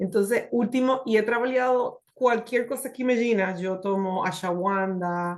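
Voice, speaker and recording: A woman with a Spanish accent speaks at a fairly slow pace in a fairly high voice with ordinary pitch variation. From Puerto Rico. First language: Spanish (speaking Portuguese). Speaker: hotel HR executive, testimonial speaker. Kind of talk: testimony. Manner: halting, mixing Spanish and Portuguese.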